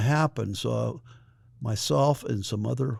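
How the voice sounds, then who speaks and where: The recording is very clean, with a silent background. A man with an American accent speaks at a medium pitch, somewhat breathy. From US Midwest, Indiana. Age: 80s+. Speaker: retired school principal. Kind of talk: interview, personal reminiscence. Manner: hesitant, with many fillers.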